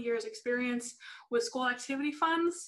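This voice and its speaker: Against a quiet background, a woman talks in a bright, sharp tone. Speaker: software sales manager presenting; presenter. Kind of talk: webinar presentation. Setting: video call webinar. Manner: fast; hesitant, many fillers. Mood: friendly, upbeat. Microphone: video call.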